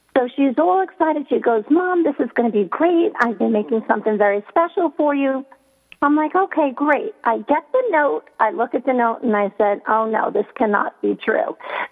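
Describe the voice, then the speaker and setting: Over background music, a woman with a high voice talks at a moderate pace, her pitch swinging very widely while her loudness stays very even. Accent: American. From New York. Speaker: radio talk show host. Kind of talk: radio interview. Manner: animated.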